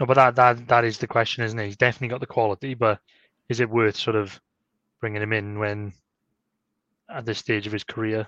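A man at a fairly quick pace, with little pitch movement and a fairly bright tone.

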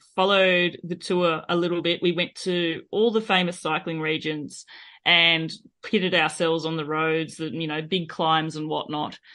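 In an Australian accent, a woman talks at a fairly slow pace with a fairly low pitch and fairly even intonation. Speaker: cyclist and podcaster. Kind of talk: casual interview chat.

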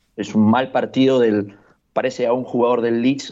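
A man's medium-pitched voice with a dark, mellow tone, monotone, flat intonation and a fairly quick pace. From Peru, Lima. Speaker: football pundit. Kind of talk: casual chat.

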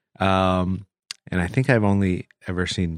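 In a dry, close sound with no echo, this man talks at a fairly slow pace. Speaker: podcast guest. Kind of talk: casual chat.

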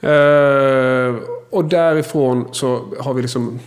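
A man talks at a medium pitch with fairly even intonation. Noticeable noise runs in the background. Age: 40s. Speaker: podcast host. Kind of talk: interview.

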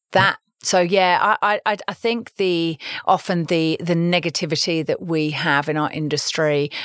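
A woman's very deep, low voice in a southern English accent, at a moderate pace with ordinary pitch variation and a dry, close sound with no echo. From London, England. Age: 40s. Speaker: media investment executive. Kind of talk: interview. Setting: studio.

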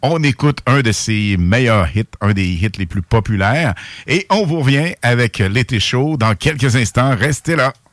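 A man speaks at a fairly slow pace with a medium pitch and lively intonation, recorded very cleanly against a silent background. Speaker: radio host. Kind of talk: casual radio chat. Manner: animated.

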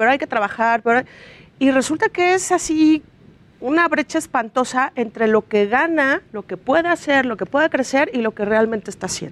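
With lively intonation, a woman talks at a moderate pace in a high voice. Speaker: journalist. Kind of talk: segment presentation.

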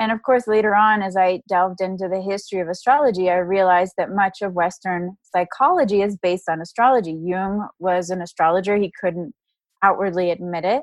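A woman with an American accent talks in a normal speaking voice at a fairly quick pace, her intonation fairly even, in a dry, close sound with no echo. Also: medium pitch for a woman. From Texas, Dallas. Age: 30s. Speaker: astrologer and author. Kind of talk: casual interview.

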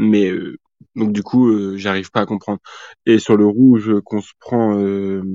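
A man speaks very slowly at a fairly low pitch. His intonation is monotone and flat. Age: 20s. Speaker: football fan podcast guest. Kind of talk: casual chat.

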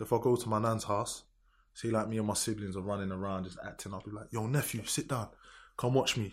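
A man with a London accent and a medium pitch talks at a very fast pace with fairly even intonation, on a very clean recording with a silent background. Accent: London multicultural English. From south London, Lewisham. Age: 20s. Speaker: grime MC and producer. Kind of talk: casual chat.

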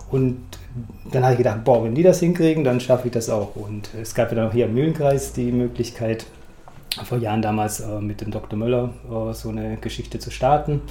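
A man at medium pitch and a fairly quick pace, with ordinary pitch variation, audible room echo and noticeable background noise. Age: 50s. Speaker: amateur runner. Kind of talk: interview.

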